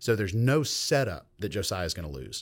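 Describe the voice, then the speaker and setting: On a very clean recording with a silent background, a man delivers his words at a fairly quick pace. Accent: Southern US. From US South, Georgia (Meriwether County). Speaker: professor of Old Testament. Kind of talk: casual interview, explanatory teaching. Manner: animated.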